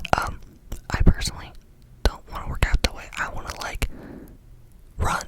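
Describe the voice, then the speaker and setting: A woman whispering over noticeable background noise. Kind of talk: ASMR whispered ramble. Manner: whispered, fast-paced, casual rambling with filler words.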